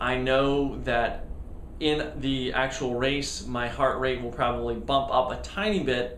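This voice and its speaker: Audible room echo mixes with noticeable background noise throughout. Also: man. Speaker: amateur triathlete vlogger. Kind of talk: casual video diary. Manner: hesitant, many fillers.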